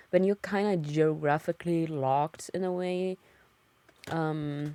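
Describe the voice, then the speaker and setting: A woman speaks at a very deep, low pitch, at a fairly slow pace with fairly even intonation. The sound is dry and close with no echo, in a very clean recording with a silent background. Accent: slight German. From Germany. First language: German. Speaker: streamer. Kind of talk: casual chat. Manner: hesitant, many fillers.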